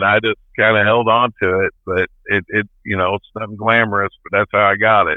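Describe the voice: A man's fairly low voice, fairly even intonation, moderate pace, and a dry, close sound with no echo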